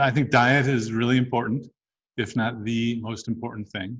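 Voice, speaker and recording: He talks at a fairly slow pace. This man's voice sounds somewhat breathy. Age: 60s. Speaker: physician and researcher. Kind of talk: interview.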